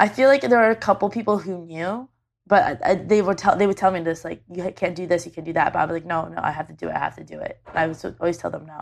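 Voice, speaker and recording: A woman with a Canadian accent at a very fast pace, hardly any pauses and big swings in loudness, over a quiet background. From Canada. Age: 20s. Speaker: YouTube video creator. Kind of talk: casual chat. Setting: on a couch in the same room as host.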